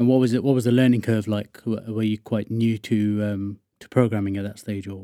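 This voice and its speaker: A man with a southern English accent, fairly low in pitch, with a dark, mellow tone, monotone and flat, at a fairly quick pace. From southern England (Wokingham, west of London). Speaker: podcast host, iOS developer. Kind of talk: casual interview chat.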